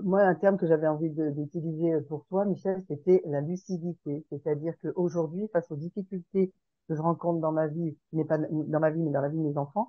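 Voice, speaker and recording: A woman speaks with a fairly low pitch and fairly even intonation. Her pace is moderate. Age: 60s. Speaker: participant in a sharing group. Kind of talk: group sharing session. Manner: hesitant, many fillers.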